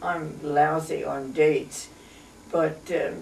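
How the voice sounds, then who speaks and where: Speaking very slowly with an American accent, a woman is heard with audible room echo and noticeable background noise. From Pennsylvania, US. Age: 90s. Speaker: elderly local resident. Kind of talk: oral history interview. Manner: halting.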